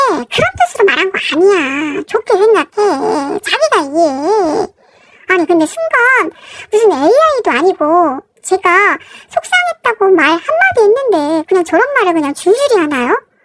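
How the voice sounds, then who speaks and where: Music plays behind a woman whose extremely high voice swings very widely in pitch while her loudness stays very even, the sound dry and close with no echo. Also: fairly slow pace. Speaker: married woman telling her story. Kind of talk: first-person story reading.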